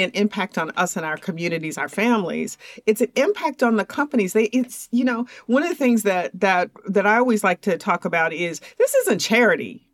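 A normal speaking voice moves at a moderate pace with lively intonation and hardly any pauses. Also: woman. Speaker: podcast host. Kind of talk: interview conversation.

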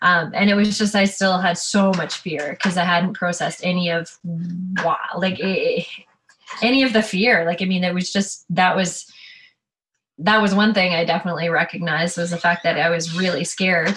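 At a moderate pace, this plain, everyday voice keeps a fairly even intonation. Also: woman, medium pitch for a woman. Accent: Canadian. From Ontario, Canada. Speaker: ski guide. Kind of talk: interview. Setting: video call.

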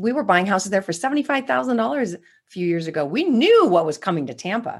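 A woman speaks with very wide pitch swings on a very clean recording with a silent background. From California. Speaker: real estate investor and educator. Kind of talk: interview.

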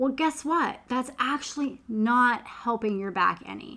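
Her bright, sharp tone comes through a very clean recording with a silent background as the woman talks at a fairly slow pace with ordinary pitch variation. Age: middle-aged. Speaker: holistic health coach. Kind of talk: podcast monologue.

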